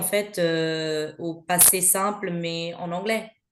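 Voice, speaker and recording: A woman speaks at a medium pitch. Her intonation is fairly even, and there is audible room echo. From Belgium. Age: 30s. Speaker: mother sharing her experience. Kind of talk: podcast interview. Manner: hesitant, many fillers.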